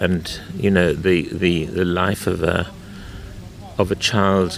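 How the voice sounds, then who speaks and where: Noticeable background noise sits behind a man with a very deep, low voice. He speaks fairly slowly with fairly even intonation. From South Africa, Western Cape winelands (Durbanville). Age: 70s. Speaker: wine and food commentator. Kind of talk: interview conversation. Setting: outdoors on a wine estate.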